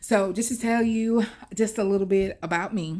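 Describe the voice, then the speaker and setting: This is a woman talking with a Southern US accent. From US South, Mobile area, Alabama. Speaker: vlogger. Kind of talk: personal storytelling. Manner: conversational, many fillers.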